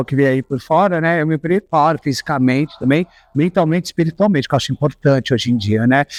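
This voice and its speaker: A man speaks in a normal speaking voice with a fairly high pitch and ordinary pitch variation, at a fairly quick pace. The sound is dry and close with no echo, against a quiet background. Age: 40s. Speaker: designer. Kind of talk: interview.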